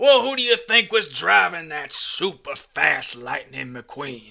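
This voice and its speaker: A man's raspy, high-pitched put-on character voice at a fairly slow pace. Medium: comedy sketch. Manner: folksy, boastful.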